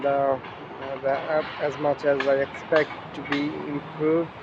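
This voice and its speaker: This man's speech unfolds at a fairly slow pace amid noticeable background noise. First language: not English. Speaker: English learner, channel owner. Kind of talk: casual chat. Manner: halting.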